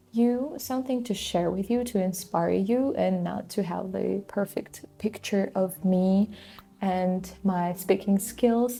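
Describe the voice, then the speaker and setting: At a fairly slow pace, a woman with a non-native accent speaks in a somewhat breathy, dark, mellow voice of medium pitch with ordinary pitch variation. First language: not English. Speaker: vlogger, student and small business owner. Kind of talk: casual vlog talk to camera. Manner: hesitant, many fillers.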